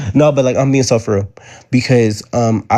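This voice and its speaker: A man speaks at a fairly quick pace in a somewhat breathy voice. His tone is dark and mellow, with ordinary pitch variation. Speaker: livestreamer and manifestation coach. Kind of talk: casual livestream chat. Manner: calm, laid back.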